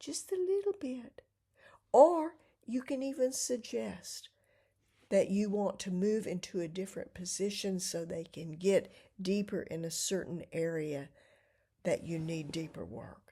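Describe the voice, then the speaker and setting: A woman with a medium pitch and a dark, mellow, somewhat breathy tone speaks at a fairly slow pace, with very wide pitch swings and big swings in loudness. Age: 70s. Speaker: vlogger. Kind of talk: casual monologue.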